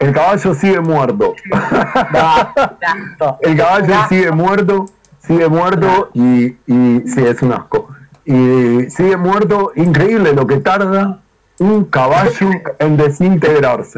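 Very even in loudness, a man speaks at a very slow pace with a high pitch. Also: lively intonation. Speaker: podcast panelist. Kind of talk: casual banter among friends.

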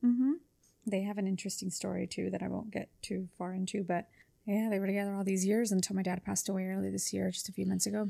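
At a very fast pace, a woman with a dark, mellow tone and medium pitch speaks in a monotone, flat way on a very clean recording with a silent background. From Los Angeles area, California (Whittier). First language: Spanish. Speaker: real estate agent. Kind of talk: casual interview.

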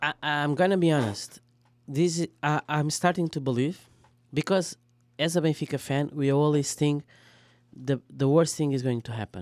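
A fairly high-pitched man with a Portuguese accent at a moderate pace with ordinary pitch variation, with a dry, close sound, no echo, and a very clean recording against a silent background. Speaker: football fan guest. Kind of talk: casual chat.

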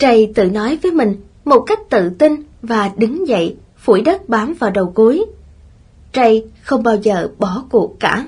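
Her intonation lively, a woman with a fairly high pitch speaks at a very slow pace. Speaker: audiobook narrator. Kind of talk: reading aloud.

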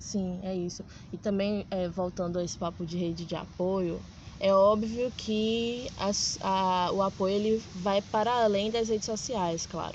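A somewhat breathy voice delivers its words at a fairly slow pace. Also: woman, medium pitch for a woman, fairly even intonation. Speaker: podcast host. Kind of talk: casual interview. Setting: outdoors in a public square.

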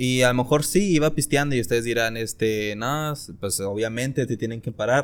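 A man talks in an unremarkable speaking voice at a medium pitch. His pace is moderate and his pitch variation ordinary. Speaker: podcast co-host. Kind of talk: casual chat.

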